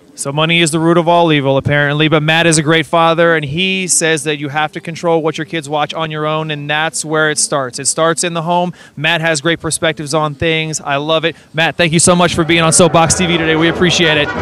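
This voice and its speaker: Loud and fairly high-pitched, a man talks with a bright, sharp tone and hardly any pauses. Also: fairly quick pace. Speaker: street interview host. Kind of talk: street interview. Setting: outdoors. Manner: animated.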